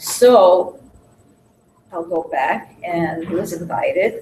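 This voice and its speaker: A woman is the speaker. Her delivery is somewhat breathy. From Hungarian-born, raised in Williamsburg, Brooklyn. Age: 60s. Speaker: speaker sharing life story. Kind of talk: personal testimony to a small group. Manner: halting.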